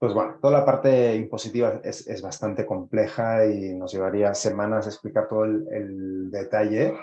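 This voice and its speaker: A man's dark, mellow voice with a Spanish accent, fairly even intonation and hardly any pauses. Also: fairly low pitch for a man, moderate pace. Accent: Spanish (Spain). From Spain. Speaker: startup executive. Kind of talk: interview. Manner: halting with frequent fillers.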